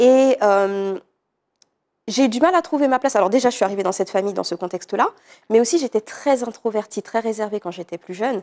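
A woman with a fairly high pitch speaks at a fairly quick pace with lively intonation over a quiet background. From Paris region, France (Villeneuve-le-Roi), of French Guianese parents; Paris region, France. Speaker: art therapist and personal development coach; personal development coach. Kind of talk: interview. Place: studio. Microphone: lapel.

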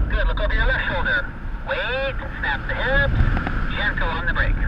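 A man speaks fairly quickly, his dry sound carrying no echo, against loud background noise. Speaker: paragliding instructor. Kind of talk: coaching instructions. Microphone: two way radio.

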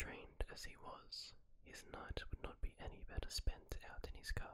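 A man whispers, soft-spoken, at a fairly slow pace. There is noticeable background noise. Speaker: story narrator. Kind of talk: story narration. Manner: soft close-mic ASMR whisper. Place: home room. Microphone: studio mic.

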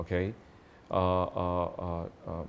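A man speaks with a very deep, low pitch. Light background noise can be heard. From Indonesia. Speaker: company founder and CEO; interviewee. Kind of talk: interview. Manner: halting. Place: home room.

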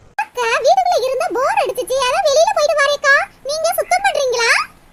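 A woman performs a cartoonish character voice. Her pitch is extremely high and her pace moderate. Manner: sing-song, drawn-out calls.

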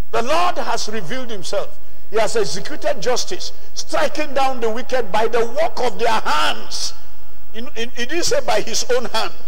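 A man speaks in an extremely high voice with lively intonation. His pace is fairly slow. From Nigeria. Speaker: preacher. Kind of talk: sermon. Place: church. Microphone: handheld.

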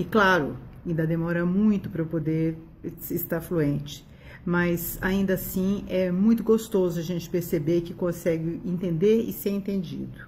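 A woman speaks at a fairly slow pace with fairly even intonation and a fairly low pitch, in an ordinary speaking voice. Light background noise can be heard. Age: 60s. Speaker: doctor giving a customer testimonial. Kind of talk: testimonial. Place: home room. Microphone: phone near.

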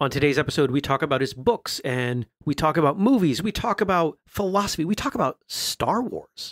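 A man talks at a fairly quick pace in an ordinary speaking voice. The sound is dry and close, with no echo. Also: fairly high pitch for a man. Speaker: podcast host and martial artist. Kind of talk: interview.

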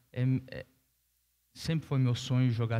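A dark, mellow tone belongs to this man. He speaks at a moderate pace. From southern Brazil, Rio Grande do Sul (Caxias do Sul); Rio Grande do Sul, Brazil. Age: 30s. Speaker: professional tennis player; guest. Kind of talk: panel interview on stage; interview answer on panel. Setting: stage with audience. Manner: hesitant, with fillers. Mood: relaxed, smiling, candid. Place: stage. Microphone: headset.

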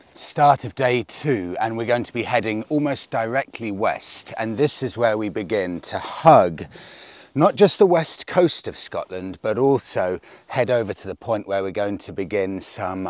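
Lively intonation and big swings in loudness mark this man's fairly slow speech. The sound is dry with no echo, over a quiet background. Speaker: motorcycle road trip vlogger. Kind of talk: casual vlog chat. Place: open country.

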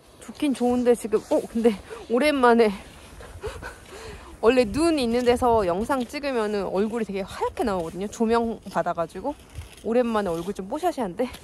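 A woman speaks at a moderate pace with lively intonation, her voice dry and free of echo over light background noise. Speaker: parent vlogger. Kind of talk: casual vlog chat. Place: open country. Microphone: phone near.

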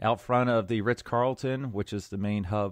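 In an unremarkable speaking voice, a man talks at a moderate pace with fairly even intonation, the sound dry with no echo and the background quiet. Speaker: podcast host. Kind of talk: casual podcast monologue. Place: home room.

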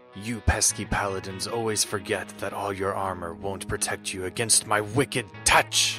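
With clear music in the background, a man does a put-on character voice at a fairly low pitch and a moderate pace. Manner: hissing, contemptuous.

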